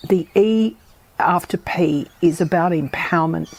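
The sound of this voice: A woman speaks at a fairly slow pace, her pitch fairly low with ordinary variation. Her tone is slightly mellow with a slightly husky edge.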